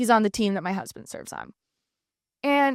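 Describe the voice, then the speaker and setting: In a very clean recording with a silent background, a woman speaks with an animated tone and lively intonation, the sound dry and close with no echo. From Canada. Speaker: political news podcast host. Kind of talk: casual monologue.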